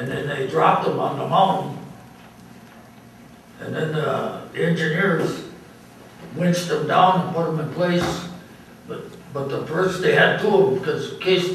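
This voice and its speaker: Long, frequent pauses and a moderate pace from a man, over noticeable background noise. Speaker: Korean War veteran (Chosin Reservoir). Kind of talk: casual recounting of war memories in an interview. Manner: conversational, hesitant, with filler words.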